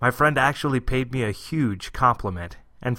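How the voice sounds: A voice reads in a natural way.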